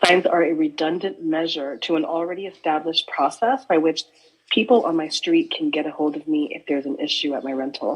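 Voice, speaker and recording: Speaking at a fairly quick pace, a woman with a fairly low pitch comes through over noticeable background noise. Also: ordinary pitch variation. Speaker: short-term rental owner speaking at public comment. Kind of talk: public comment at county board meeting. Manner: formal, read statement.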